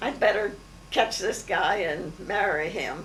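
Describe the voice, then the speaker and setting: A woman with an American accent talks at a fairly slow pace with ordinary pitch variation. Noticeable background noise and audible room echo surround her. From Maryland, US. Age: 80s+. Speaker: family elder recounting memories. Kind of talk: oral history interview. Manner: halting, many fillers.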